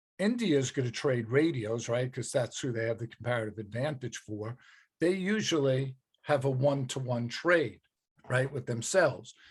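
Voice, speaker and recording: Somewhat breathy, a man speaks at a medium pitch and moderate pace with ordinary pitch variation. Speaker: economics teacher. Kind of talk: lecture.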